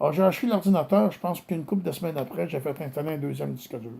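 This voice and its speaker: In a Quebec accent, a man talks with a dark, mellow tone and very wide pitch swings, recorded very cleanly against a silent background. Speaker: complainant addressing a judge. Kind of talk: personal video statement. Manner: hesitant.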